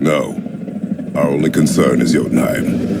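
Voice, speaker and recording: A man's put-on character voice amid loud background noise. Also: moderate pace. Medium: video game. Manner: curt, gruff.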